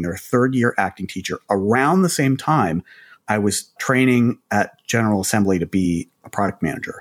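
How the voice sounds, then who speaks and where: Recorded very cleanly against a silent background, with a dry, close sound and no echo, a man in an ordinary speaking voice talks at medium pitch and a moderate pace with lively intonation. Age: 50s. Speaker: startup executive and co-host. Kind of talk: casual business conversation.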